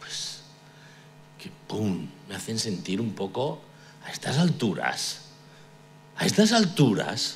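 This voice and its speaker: Very wide pitch swings and long, frequent pauses, with audible room echo and noticeable background noise. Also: man, medium pitch for a man. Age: 60s. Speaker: pastor. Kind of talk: sermon. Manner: halting.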